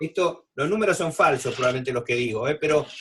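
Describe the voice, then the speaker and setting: A man talks in a high-pitched voice with lively intonation. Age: 60s. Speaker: physician. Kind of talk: expert talk in a video panel. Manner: halting with many fillers.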